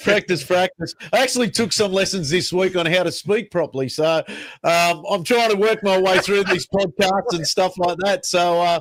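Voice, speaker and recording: In an Australian accent, a man speaks with a high pitch, ordinary pitch variation and very even loudness, recorded dry and close with no echo. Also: moderate pace. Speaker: podcast co-host. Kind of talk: casual chat.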